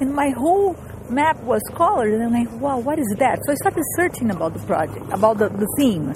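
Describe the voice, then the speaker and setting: With a Portuguese accent, a woman talks at a fairly quick pace in a high pitch with very wide pitch swings, over noticeable background noise. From Brazil. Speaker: composer and transmedia artist. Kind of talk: interview. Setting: outdoors, walking through a park.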